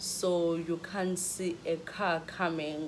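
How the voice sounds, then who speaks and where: A woman speaks at a fairly low pitch in a flat monotone. The room echo is audible. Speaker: vlogger. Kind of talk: storytelling. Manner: halting.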